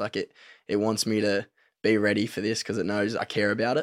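With an Australian accent, the voice runs at a fairly quick pace in monotone, flat intonation, captured in a very clean recording with a silent background and a dry, close sound with no echo. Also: man. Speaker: professional footballer. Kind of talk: casual chat.

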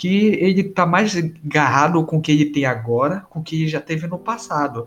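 The voice is an ordinary speaking voice, belonging to a man with a fairly high pitch. He speaks at a moderate pace with ordinary pitch variation. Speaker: podcast co-host. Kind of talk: casual chat.

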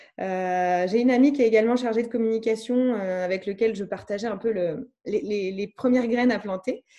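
The voice has a dark, mellow tone and moves at a fairly quick pace with hardly any pauses. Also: woman, fairly high pitch for a woman, fairly even intonation. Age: 30s. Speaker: communication agency founder. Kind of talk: interview.

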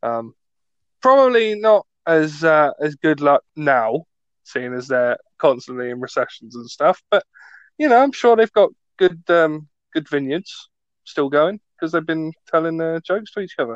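Dry and close with no echo, a man with a British accent speaks at a moderate pace in a fairly high pitch with very wide pitch swings. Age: 20s. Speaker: podcast host, student. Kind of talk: casual chat. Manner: joking, animated.

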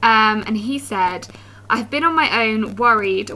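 A fairly high-pitched woman at a moderate pace, with noticeable background noise. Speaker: podcast host. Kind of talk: casual chat over wine.

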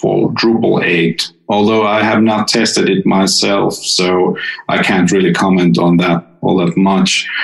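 Noticeable background noise sits behind a man whose fairly low pitch shows ordinary variation as he speaks at a fairly slow pace. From Finland. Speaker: software developer. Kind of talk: technical interview.

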